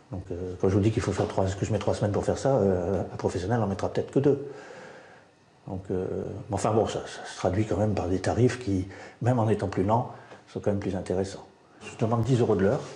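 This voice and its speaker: This man speaks at a fairly quick pace with fairly low pitch and fairly even intonation, broken by long, frequent pauses. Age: 60s. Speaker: retiree working as tiler. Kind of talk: interview. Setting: building site. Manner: halting.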